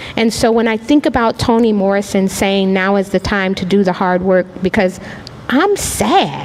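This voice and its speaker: Noticeable background noise runs under speech delivered at a moderate pace with ordinary pitch variation. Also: woman, medium pitch for a woman. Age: 50s. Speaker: artist panelist. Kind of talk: panel discussion. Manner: animated.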